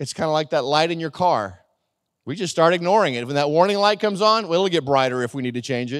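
Very fast speech carries lively intonation throughout. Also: man, fairly high pitch for a man, very clean recording, silent background. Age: 50s. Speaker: pastor. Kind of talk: sermon. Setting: church.

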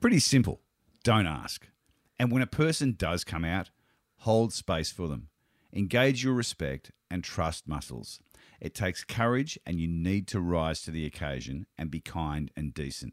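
On a very clean recording with a silent background, a man with an Australian accent speaks at a moderate pace in a very deep, low pitch with very wide pitch swings and a dry, close sound with no echo. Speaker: podcast host. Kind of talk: casual interview.

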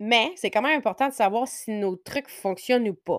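In a Quebec accent, a woman speaks at a moderate pace with a fairly high pitch and lively intonation, the sound dry and close with no echo on a very clean recording with a silent background. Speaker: podcast host, interior designer. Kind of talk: casual solo podcast monologue. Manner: hesitant, many fillers.

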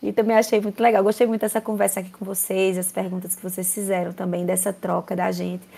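Speaking at a very fast pace with a strong Paraíba accent, a woman uses a medium-pitched, dark, mellow voice with monotone, flat intonation. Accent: strong Paraíba (Northeast Brazilian). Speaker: university professor. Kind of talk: interview.

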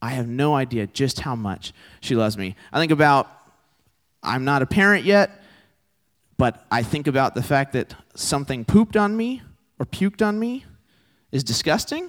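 A man with a Texan accent, fairly high pitch and very wide pitch swings, a moderate pace broken by long, frequent pauses, on a very clean, dry and close recording with a silent background and no echo. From Texas. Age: 20s. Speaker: campus ministry preacher. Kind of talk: sermon.

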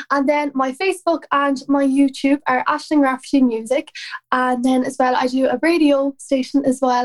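The speaker is a woman with an Irish accent. Her pitch is high. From Ireland. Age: 20s. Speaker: country singer. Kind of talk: casual interview chat.

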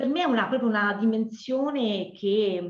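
At a fairly slow pace, a woman speaks in a somewhat breathy voice of medium pitch with ordinary pitch variation, and audible room echo. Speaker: dance teacher. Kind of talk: interview. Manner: energetic; halting with fillers.

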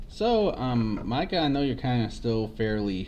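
A man speaks with ordinary pitch variation in audible room echo. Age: 20s. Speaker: podcast host. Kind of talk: casual chat.

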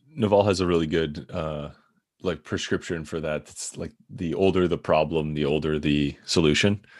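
Very deep, low male voice in a Midwestern American accent, with fairly even intonation. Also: moderate pace, very clean recording, silent background. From US Midwest, Michigan near Detroit. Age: 30s. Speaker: author and product strategist. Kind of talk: casual interview.

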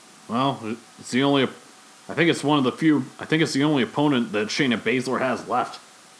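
With noticeable background noise behind him, a man of medium pitch talks at a fairly quick pace. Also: ordinary pitch variation. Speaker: podcast host. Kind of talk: casual chat. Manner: casual, conversational.

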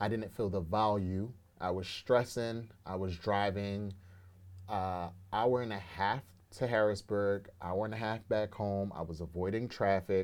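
A man uses an ordinary speaking voice, fairly low in pitch and fairly slow, with fairly even intonation. The recording is very clean, with a silent background. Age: 30s. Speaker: entrepreneur. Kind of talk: casual interview.

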